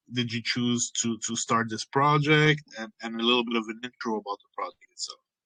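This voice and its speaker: A man with a French accent speaks in a bright, sharp tone at medium pitch. His intonation is fairly even, and the sound is dry and close with no echo. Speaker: AMA host. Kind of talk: casual interview chat.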